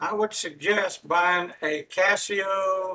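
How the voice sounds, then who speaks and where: Projecting a raised voice, a man speaks at a very slow pace with high pitch and a bright, sharp tone. His intonation is monotone and flat. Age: old. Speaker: math instructor. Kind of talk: lecture. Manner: halting, many fillers.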